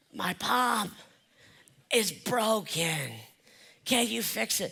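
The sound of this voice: The voice is a put-on character voice, hoarse and raspy with a fairly high pitch. It moves at a very slow pace.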